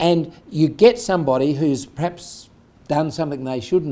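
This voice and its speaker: A man's fairly high pitch with a dark, mellow tone at a moderate pace. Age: 70s. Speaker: entrepreneur. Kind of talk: interview.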